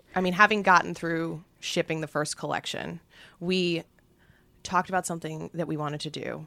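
Vocal fry marks this woman's voice, pitched fairly low with an American accent and fairly even intonation. She talks at a moderate pace in a very clean recording with a silent background. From Manhattan, New York City. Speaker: fashion brand co-founder. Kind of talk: casual interview chat.

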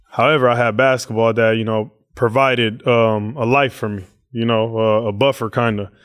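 With an American accent, a man speaks at a medium pitch and moderate pace in a monotone, flat intonation. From Oakland, California. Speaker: NBA basketball player. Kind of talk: casual interview.

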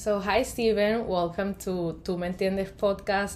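A woman speaks in a Spanish accent at a moderate pace. Noticeable background noise runs behind her. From Colombia. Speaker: podcast host and graphic designer. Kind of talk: casual interview. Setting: remote video call.

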